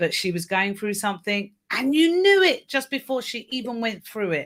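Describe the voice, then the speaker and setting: In a very clean recording with a silent background, a woman speaks at a fairly high pitch with very wide pitch swings. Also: moderate pace. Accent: British. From United Kingdom. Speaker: mindset coach. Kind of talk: live panel discussion.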